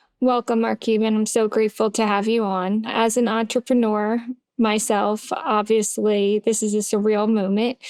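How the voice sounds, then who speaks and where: A woman's fairly high voice in a Philadelphia accent, at a moderate pace with monotone, flat intonation and very even loudness, in a dry, close sound with no echo. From US, Philadelphia. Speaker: podcast host, pharmacist. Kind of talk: interview.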